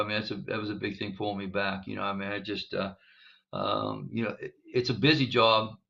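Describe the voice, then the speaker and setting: This man speaks at a fairly quick pace, his pitch fairly low, with vocal fry. His pitch varies in an ordinary way. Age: 60s. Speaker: high school basketball coach. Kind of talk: interview. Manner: halting, many fillers.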